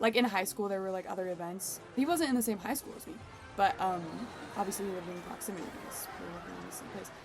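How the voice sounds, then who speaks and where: A woman speaks at medium pitch and a very fast pace, with ordinary pitch variation. Her loudness swings widely, and music plays in the background. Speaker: gaming streamer / video creator. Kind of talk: casual gameplay commentary with storytelling.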